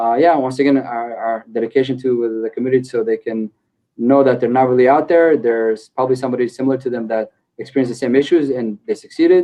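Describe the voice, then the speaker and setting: The delivery comes at a very fast pace with fairly even intonation. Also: man, medium pitch for a man. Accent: Israeli. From Israel. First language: Hebrew. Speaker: e-commerce company co-founder. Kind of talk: podcast interview. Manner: hesitant, many fillers and repeats.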